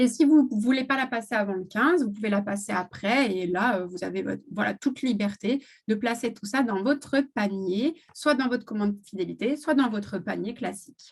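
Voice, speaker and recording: Somewhat breathy, a woman talks with hardly any pauses. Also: fairly high pitch for a woman, ordinary pitch variation, moderate pace. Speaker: essential oils seller. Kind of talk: live stream product presentation. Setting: live video stream. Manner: hesitant, many fillers.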